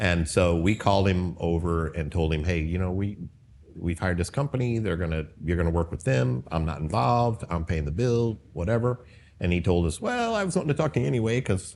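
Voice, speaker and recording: A man with an American accent speaks at a fairly quick pace in a very deep, low pitch, his intonation lively against a quiet background. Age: 60s. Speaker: pest control business owner. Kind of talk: casual interview. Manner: halting.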